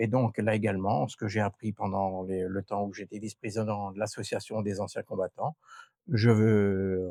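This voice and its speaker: Dark and mellow in tone, a man's fairly low voice comes at a moderate pace with monotone, flat intonation, on a very clean recording with a silent background and a dry, close sound with no echo. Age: 60s. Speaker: retired gendarme, local election candidate. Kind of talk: interview. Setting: outdoors on a terrace.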